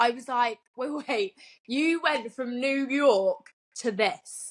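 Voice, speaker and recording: At a very slow pace, someone with a British accent talks with ordinary pitch variation on a very clean recording with a silent background. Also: woman, high pitch for a woman. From southern England, Winchester. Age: 20s. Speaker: podcast co-host. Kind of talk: casual chat.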